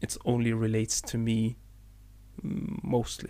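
A man at a fairly slow pace, his pitch medium. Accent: Arabic. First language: Arabic. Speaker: podcast co-host. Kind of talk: casual chat.

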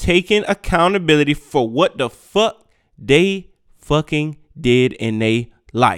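Speaking at a fairly slow pace, a man uses lively intonation and an animated tone in a very clean recording with a silent background and a dry, close sound with no echo. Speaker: podcast host. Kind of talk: angry rant, profane and combative, with heated street slang. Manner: loud, aggressive, emphatic, repeating phrases for punch; animated and confrontational, addressing listeners directly.

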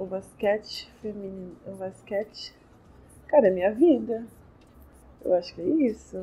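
A woman speaks at medium pitch in a somewhat breathy, dark, mellow tone with lively intonation. Her pace is fairly slow, with long, frequent pauses and big swings in loudness. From São Paulo, Brazil (east zone, Ferraz). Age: 20s. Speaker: professional basketball player. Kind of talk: interview. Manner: casual.

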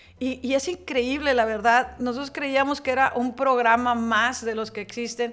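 Her high-pitched voice moves at a moderate pace as this woman keeps her intonation fairly even. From Hidalgo, Nuevo León, Mexico. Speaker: business association president. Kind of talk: interview.

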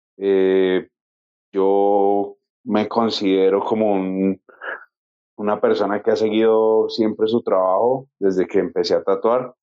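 A man speaks very slowly with a fairly low pitch. His intonation is flat and monotone, and his loudness stays very even. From Colombia. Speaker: podcast co-host. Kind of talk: interview. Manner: halting.

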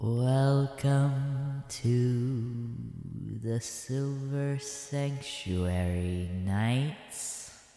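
With slight echo, a put-on character voice at a low-to-middle pitch moves at a very slow pace.

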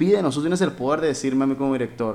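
A man speaks in an unremarkable speaking voice. His pitch is medium with ordinary variation. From Mexico, Hermosillo (Sonora). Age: 30s. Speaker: musician. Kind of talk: casual chat.

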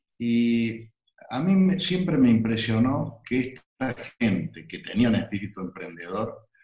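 Using lively intonation, a man at medium pitch speaks at a very slow pace. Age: 60s. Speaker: entrepreneur and university founder. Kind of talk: interview. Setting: video call. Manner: halting.

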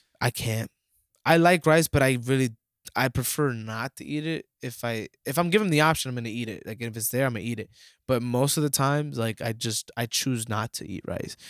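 An ordinary speaking voice from a man at medium pitch, fairly quick in pace, with ordinary pitch variation and big swings in loudness, dry and close with no echo on a very clean recording over a silent background. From US, Dominican-American family. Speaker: podcast co-host. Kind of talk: casual chat.

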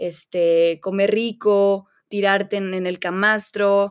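Woman with a central Mexican accent, medium pitch and fairly even intonation, in a very clean recording with a silent background. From Mexico, León, Guanajuato. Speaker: physician. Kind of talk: interview.

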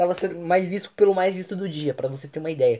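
A man talks at a very fast pace in a high voice. His pitch varies in an ordinary way, and his tone is dark and mellow. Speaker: podcast host. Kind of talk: casual chat.

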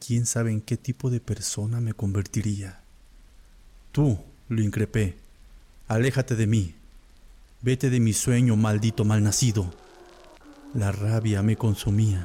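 In an intense, dramatic tone, a man with a fairly low pitch speaks fairly slowly and somewhat breathily, with fairly even intonation and long, frequent pauses. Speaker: horror story narrator. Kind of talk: dramatic first-person horror narration, scripted storytelling. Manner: dramatic, suspenseful, grave; slow, brooding, intense.

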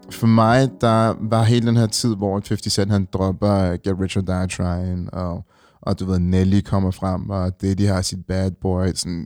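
A man's very deep, low voice at a very slow pace, with fairly even intonation, a dry, close sound with no echo, and a very clean recording with a silent background. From Denmark, Ringsted (Zealand). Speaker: fashion icon and former musician. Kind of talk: casual interview. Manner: hesitant, many fillers.

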